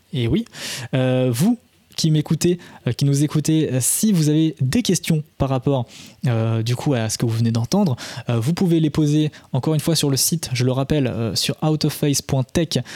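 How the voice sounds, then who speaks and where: A man talks at a fairly slow pace with a fairly high pitch, ordinary pitch variation and very even loudness. His tone is dark and mellow, and the sound is dry and close with no echo. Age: 20s. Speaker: podcast host, sound technology educator. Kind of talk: casual educational podcast chat. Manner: halting, with stammers and repetitions.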